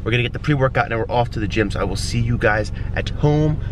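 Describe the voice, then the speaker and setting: Recorded dry with no echo and with noticeable background noise, a man talks with ordinary pitch variation. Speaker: vlogger. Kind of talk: casual vlog chat. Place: car. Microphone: phone near.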